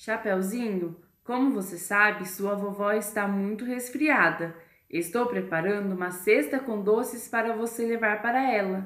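At a fairly slow pace, a woman of medium pitch speaks with ordinary pitch variation. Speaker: storyteller podcast co-host. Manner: sweet, animated, childlike character voices.

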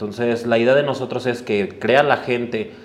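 A man is talking. Noticeable background noise can be heard throughout. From Mexico City, Iztapalapa. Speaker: sneaker event organizer. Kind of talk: casual interview chat.

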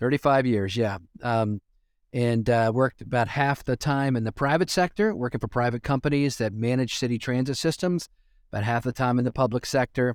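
A man with an American accent speaks in a plain, everyday voice at a medium pitch with ordinary pitch variation and a fairly quick pace, on a very clean recording with a silent background and a dry, close sound with no echo. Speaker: transit executive. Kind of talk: interview.

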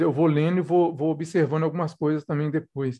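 A man is speaking. His tone is dark and mellow. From Belo Horizonte, Minas Gerais, Brazil. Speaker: poet. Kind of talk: interview. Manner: halting, repeats words.

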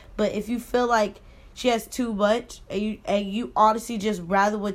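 This woman has an ordinary speaking voice with medium pitch and fairly even intonation. She talks at a moderate pace. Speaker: podcast co-host. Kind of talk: casual chat.

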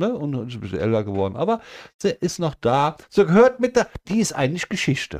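A man talks at a fairly quick pace, his fairly high pitch moving in very wide swings. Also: dry, close sound with no echo. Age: 50s. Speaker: podcast co-host. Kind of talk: casual chat.

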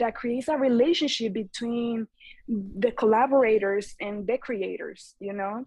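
In a Spanish accent, a woman speaks at a fairly slow pace with a fairly high pitch. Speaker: eco clothing brand founder. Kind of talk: casual interview chat.

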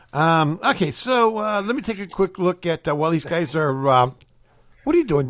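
In an American accent, a man speaks at a high pitch with very wide swings up and down. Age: 60s. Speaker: radio host. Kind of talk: casual chat. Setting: studio.

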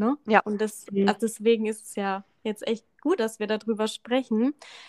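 A woman talks at a moderate pace in an unremarkable speaking voice, fairly high in pitch, with fairly even intonation. The sound is dry and close, with no echo. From Lower Franconia, Bavaria (near Schweinfurt). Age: 30s. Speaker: energy coach. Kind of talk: podcast interview.

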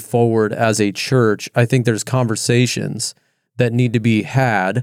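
A man with a normal speaking voice at medium pitch is heard on a very clean recording with a silent background and a dry, close sound with no echo. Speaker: pastor. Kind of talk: casual chat.

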